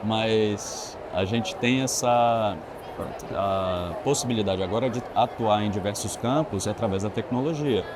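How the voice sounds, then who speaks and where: Over noticeable background noise and audible room echo, a man speaks at a fairly slow pace. His medium-pitched voice has ordinary pitch variation. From Bahia, Brazil (Itabuna), moved to Brasília at 17. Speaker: architect. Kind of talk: interview conversation. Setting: trade fair venue.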